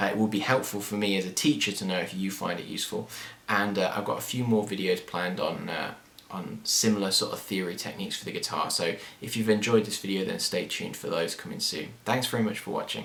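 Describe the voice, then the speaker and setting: Speaking at a very fast pace, a man uses a fairly low pitch and fairly even intonation. There is audible room echo and noticeable background noise. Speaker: guitar teacher. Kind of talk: tutorial.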